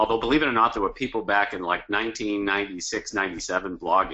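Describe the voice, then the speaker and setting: Here a man speaks with a strong Boston accent. His pitch is fairly low. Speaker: cause marketing consultant and author. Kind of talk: webinar presentation. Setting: online webinar.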